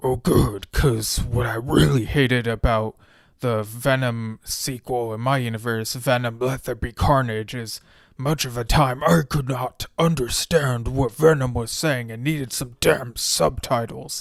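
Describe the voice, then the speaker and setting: Putting on a growling character voice at medium pitch, a man speaks at a moderate pace on a very clean recording with a silent background. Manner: sarcastic.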